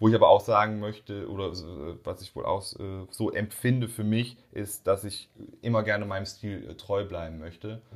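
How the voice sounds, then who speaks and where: An unremarkable speaking voice from a man, fairly low in pitch, at a moderate pace with fairly even intonation. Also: big swings in loudness, very clean recording, silent background. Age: 20s. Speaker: audio and video producer, entrepreneur. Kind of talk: casual interview.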